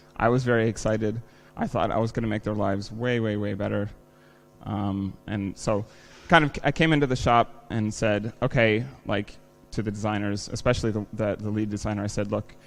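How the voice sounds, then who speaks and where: Over music in the background, a man with an American accent speaks at a fairly quick pace with a fairly low pitch and fairly even intonation. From United States. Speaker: software engineer, conference speaker. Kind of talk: conference talk. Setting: stage with audience. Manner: casual, many fillers.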